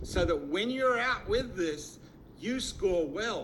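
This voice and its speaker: A man talks at a moderate pace with lively intonation. There is audible room echo and noticeable background noise. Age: 60s. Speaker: network marketing distributor. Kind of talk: sales pitch. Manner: animated.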